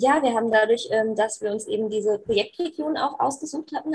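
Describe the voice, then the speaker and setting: A woman with an unremarkable speaking voice talks at a fairly quick pace in a fairly high pitch, with ordinary pitch variation. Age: 20s. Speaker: youth volunteer organizer. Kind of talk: casual chat.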